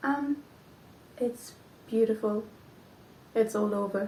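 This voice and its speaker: Speaking very slowly in a Flemish accent, a woman uses a fairly high pitch with ordinary pitch variation. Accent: Belgian (Flemish) accent in English. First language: not English. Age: 20s. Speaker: knitting podcaster. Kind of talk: casual vlog chat. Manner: hesitant, many ums.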